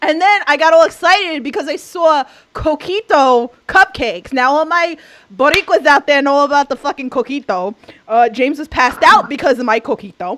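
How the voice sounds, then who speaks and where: Speaking in a New York accent, a woman with a high pitch talks at a fairly quick pace with lively intonation, in a dry, close sound with no echo. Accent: New York (Queens). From New York City, Queens. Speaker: podcast co-host. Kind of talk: casual chat.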